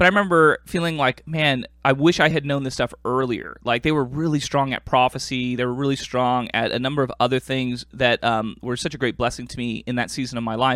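An unremarkable speaking voice from a man with an American accent, medium in pitch, with ordinary pitch variation and a fairly quick pace. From US, Korean American. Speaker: podcast host. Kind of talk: casual chat.

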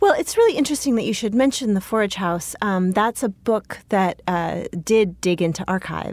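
With an American accent, a woman uses a normal speaking voice at medium pitch, ordinary pitch variation, and a moderate pace, with hardly any pauses. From California, Bay Area. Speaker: poet. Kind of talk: interview.

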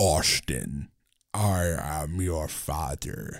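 A man's put-on, robotic character voice at a very deep, low pitch. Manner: menacing.

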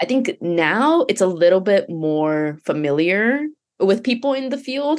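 A woman with a Japanese accent, medium-pitched and fairly slow, making very wide pitch swings against a quiet background. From Japan and Canada. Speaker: virtual humans producer. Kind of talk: casual interview chat.

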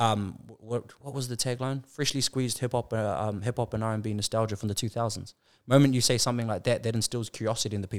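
Speaking very fast with a New Zealand accent, a man has medium pitch and fairly even intonation in a very clean recording with a silent background and a dry, close sound with no echo. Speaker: business consultant. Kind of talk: casual chat.

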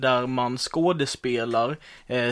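Using fairly even intonation, a man talks at a medium pitch. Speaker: podcast co-host. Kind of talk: casual chat.

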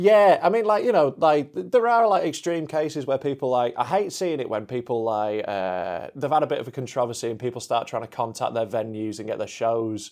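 A man with a Yorkshire accent talks at a fairly quick pace with lively intonation. The recording is very clean, the background silent. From Yorkshire, England. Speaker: comedian. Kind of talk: casual chat.

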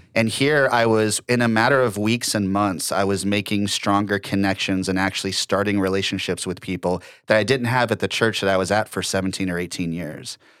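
An unremarkable speaking voice with an American accent, fairly quick and fairly even in intonation, with hardly any pauses. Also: man, fairly low pitch for a man, very clean recording, silent background. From Ohio, then Florida from age seven. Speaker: church drummer. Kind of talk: casual chat.

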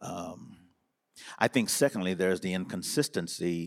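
A man's very deep, low voice in an American accent at a moderate pace, on a very clean recording with a silent background. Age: 70s. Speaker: bishop. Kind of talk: panel discussion.

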